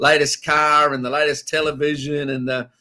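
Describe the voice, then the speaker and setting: Bright and sharp in tone, a man with an Australian accent speaks at a fairly high pitch and a moderate pace with fairly even intonation. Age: 60s. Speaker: pastor. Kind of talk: casual religious discussion.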